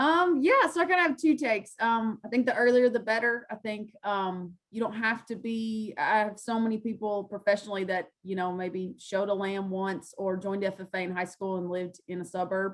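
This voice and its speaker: A Kentucky accent at a fairly quick pace with hardly any pauses. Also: woman, medium pitch for a woman, ordinary pitch variation. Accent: Kentucky Southern US. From western Kentucky. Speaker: farm organization field specialist. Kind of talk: panel presentation and Q&A. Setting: video call. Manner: fast.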